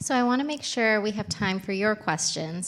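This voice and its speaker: A woman with an American accent speaks at a moderate pace with lively intonation. Her medium-pitched voice is an unremarkable speaking voice. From United States. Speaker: panel moderator. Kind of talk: panel moderation.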